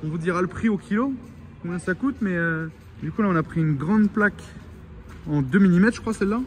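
A man talks in a high pitch. Faint music plays in the background. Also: ordinary pitch variation, fairly quick pace. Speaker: travel vlogger. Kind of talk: casual vlog chat. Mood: cheerful, joking. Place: workshop. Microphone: phone near.

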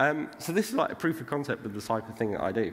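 Fairly quick speech from a man, with noticeable background noise behind it. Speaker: conference speaker. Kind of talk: lecture. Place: stage.

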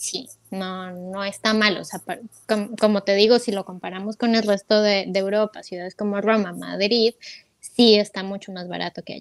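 Her intonation monotone and flat, a woman speaks with big swings in loudness in a dry sound with no echo. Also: medium pitch for a woman, moderate pace, quiet background. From Colombia, Bogotá, raised in Ecuador from age 8. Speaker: sound engineer, emigrant; interview guest. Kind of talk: interview storytelling. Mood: warm, reflective. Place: home room. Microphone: earbuds.

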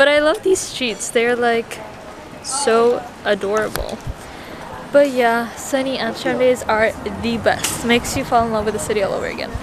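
Music plays behind a woman with a high-pitched voice. She pauses long and often, and the sound is dry with no echo. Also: fairly even intonation, moderate pace. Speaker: vlogger. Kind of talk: casual vlog chat. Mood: cheerful, laughing. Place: street. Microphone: phone near.

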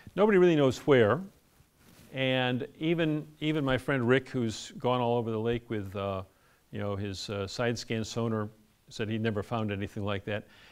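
A plain, everyday voice from a man, with lively intonation at a moderate pace. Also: medium pitch for a man. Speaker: lecturer and sailor. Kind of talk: lecture with audience Q&A. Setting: live talk with microphone. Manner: casual, conversational.

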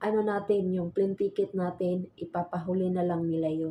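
Against a quiet background, a woman speaks in a dark, mellow tone, somewhat breathy, with fairly even intonation. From Visayas, Philippines. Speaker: vlogger and overseas domestic worker. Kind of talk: vlog tutorial. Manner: halting with fillers.

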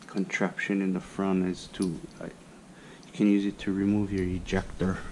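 Light background noise sits behind a man speaking at a fairly low pitch. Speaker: hobbyist demonstrator. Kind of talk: tutorial. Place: garage. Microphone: camera far.

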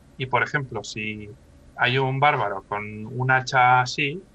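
A man talks at a medium pitch and a fairly slow pace with fairly even intonation. His tone is bright and sharp, and the sound is dry with no echo. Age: 30s. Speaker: professional miniature painter; interview guest. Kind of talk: casual interview chat. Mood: calm, explanatory. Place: home room. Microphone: video call.

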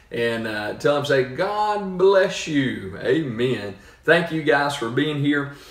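Audible room echo fills the space. A man speaks very slowly within it. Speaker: church pastor. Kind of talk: sermon-style address and prayer. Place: home room. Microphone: phone near.

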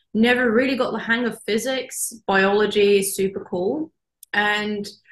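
A woman speaks at a medium pitch and a moderate pace with fairly even intonation. The background is quiet, though some room echo is audible. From Norway. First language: Norwegian. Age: young. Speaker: marine biologist; guest. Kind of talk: interview. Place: office. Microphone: video call.

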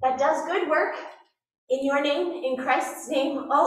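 A woman talks at a moderate pace against a quiet background. Audible room echo surrounds her voice. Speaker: pastor. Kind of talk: church announcements. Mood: warm, lightly joking. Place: church.

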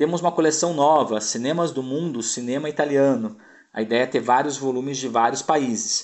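A man with an ordinary speaking voice, ordinary pitch variation and a moderate pace. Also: medium pitch for a man. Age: 40s. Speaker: home video label presenter. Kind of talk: product presentation. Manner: casual, with frequent fillers.

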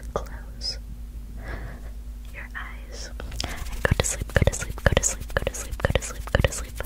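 Whispered, soft-spoken female speech at a fairly slow pace. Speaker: content creator. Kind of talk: soft-spoken sleep roleplay. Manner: soft close-up ASMR whisper. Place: home room.

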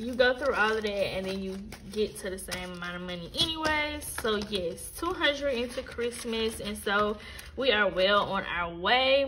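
Over light background noise, a woman talks at a fairly slow pace with lively intonation. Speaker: budgeting vlogger. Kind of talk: casual vlog chat. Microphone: phone near.

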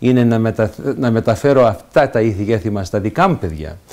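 A man speaks at a moderate pace with lively intonation. His tone is dark and mellow against a quiet background. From Canada, Montreal, Greek immigrant family; Canada. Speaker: senator. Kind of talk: interview. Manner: halting, frequent fillers and repetitions. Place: home room.

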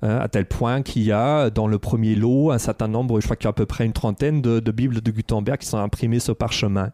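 A man's dark, mellow voice at a fairly quick pace, with fairly even intonation, hardly any pauses and a quiet background. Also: medium pitch for a man, dry, close sound with no echo. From Germany. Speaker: history professor. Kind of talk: casual intellectual discussion. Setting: university library.

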